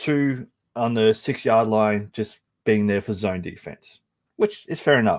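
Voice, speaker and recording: In an Australian accent, a man speaks at a medium pitch with ordinary pitch variation. The recording is very clean and dry, close with no echo, over a silent background. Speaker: soccer podcast co-host. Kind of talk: play-by-play match analysis.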